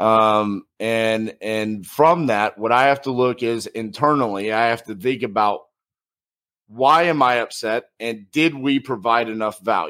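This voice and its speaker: Loud and bright with a sharp tone, a man at a medium pitch speaks at a fairly slow pace with ordinary pitch variation in a very clean recording with a silent background. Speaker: podcast host and business owner. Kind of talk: solo monologue.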